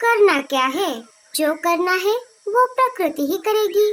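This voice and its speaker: A female-sounding cartoonish character voice at an extremely high pitch talks at a fairly slow pace. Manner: knowing, lecturing.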